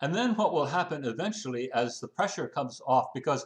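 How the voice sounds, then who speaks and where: Lively intonation from a man against a quiet background. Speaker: transport policy consultant. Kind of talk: interview. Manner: halting, many fillers.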